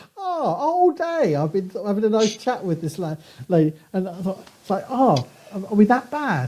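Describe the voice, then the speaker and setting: A man with a southern English accent speaks at a moderate pace in a high pitch. His pitch swings are very wide, and there is noticeable background noise. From southern England. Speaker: archaeology professor. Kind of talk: casual interview chat. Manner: clear enunciation.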